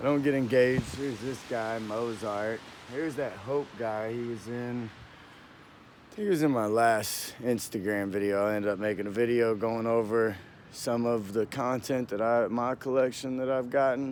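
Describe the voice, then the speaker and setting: Quiet, with fairly even intonation. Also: man, medium pitch for a man, moderate pace. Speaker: vlogger. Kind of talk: casual walking vlog. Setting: outdoors. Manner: halting.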